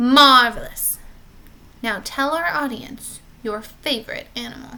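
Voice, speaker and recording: A woman does a put-on character voice, high in pitch and at a fairly slow pace. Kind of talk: children's story read-aloud. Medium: read story. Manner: theatrical, smooth.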